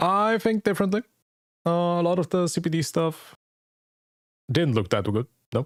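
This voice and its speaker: Speaking with a non-native accent, a man with a high voice uses lively intonation at a moderate pace, taking long, frequent pauses at very even loudness in a dry, close recording with no echo that is very clean over a silent background. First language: not English. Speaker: gaming streamer. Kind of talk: reaction stream commentary. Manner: casual.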